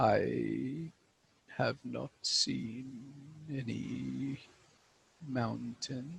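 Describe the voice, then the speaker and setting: Solemn in tone, a man performs a put-on character voice. He speaks at a very slow pace with long, frequent pauses. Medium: actual play. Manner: slow, solemn, cryptic.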